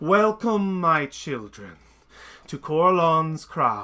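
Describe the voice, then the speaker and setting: A booming, put-on character voice delivers its lines at a very slow pace over a very clean recording with a silent background. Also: man, fairly high pitch for a man. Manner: grand, welcoming.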